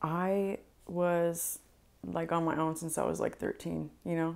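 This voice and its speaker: Speaking at a very slow pace, a woman has a very deep, low pitch and monotone, flat intonation. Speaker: interview guest. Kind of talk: interview answer. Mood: candid, reflective. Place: home room. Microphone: lapel.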